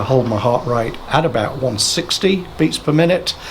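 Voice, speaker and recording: A man talks at a medium pitch with ordinary pitch variation. Noticeable background noise runs underneath. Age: 60s. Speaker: cycling vlogger. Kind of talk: tutorial. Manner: halting.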